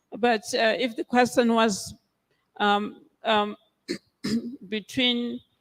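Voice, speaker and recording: The speaker talks at a very slow pace with a Botswana accent. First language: Setswana. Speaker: biblical scholar. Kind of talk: conference Q&A answer. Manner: hesitant, many fillers.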